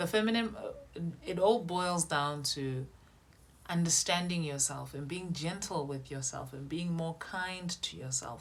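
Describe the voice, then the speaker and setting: A woman speaks at a fairly slow pace and a fairly low pitch. Her voice is somewhat breathy, with ordinary pitch variation. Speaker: style coach. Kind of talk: tutorial.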